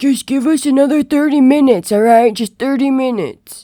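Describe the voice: A woman does a cartoonish character voice at a high pitch. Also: fairly quick pace, ordinary pitch variation.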